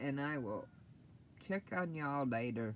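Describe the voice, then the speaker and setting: This man talks at a fairly slow pace. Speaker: crafter live-streaming. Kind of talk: casual craft livestream chat. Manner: soft-spoken when tired; halting, many ums.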